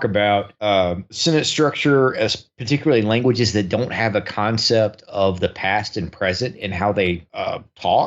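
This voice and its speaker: Here a man with a plain, everyday voice speaks at a moderate pace, his fairly low pitch showing ordinary pitch variation. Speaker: radio show host appearing as guest. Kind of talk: casual discussion.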